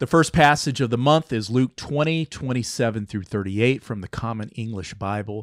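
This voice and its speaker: A man with a normal speaking voice talks at a moderate pace and medium pitch, with ordinary pitch variation and hardly any pauses. The sound is dry and close with no echo, in a very clean recording over a silent background. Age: 50s. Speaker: podcast host. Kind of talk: interview chat; reading scripture aloud.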